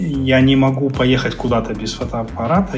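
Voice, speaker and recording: Noticeable background noise surrounds a man speaking at a medium pitch. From Crimea. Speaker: finance Telegram channel creator, former journalist. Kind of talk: casual interview conversation.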